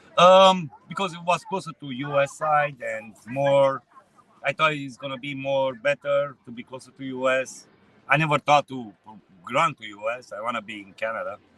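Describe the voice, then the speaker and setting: With a Romanian accent, a man speaks at a moderate pace in a fairly high pitch with ordinary pitch variation and a dry, close sound with no echo. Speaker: truck driver. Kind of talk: street interview. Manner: halting.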